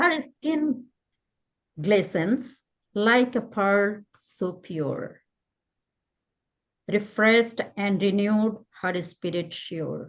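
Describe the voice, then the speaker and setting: In a Bengali accent, a woman talks very slowly with lively intonation and long, frequent pauses. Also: medium pitch for a woman. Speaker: poet. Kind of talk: poetry reading.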